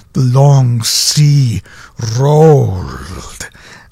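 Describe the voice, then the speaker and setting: The delivery is theatrical and animated. Noticeable background noise sits behind the voice. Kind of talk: poetry reading, dramatic performance of a comic poem. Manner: theatrical, animated, with melodramatic emphasis.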